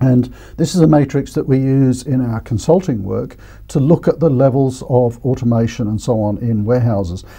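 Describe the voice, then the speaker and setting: A man with a dark, mellow tone speaks at a moderate pace. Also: quiet background. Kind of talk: educational presentation. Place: studio. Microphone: lapel.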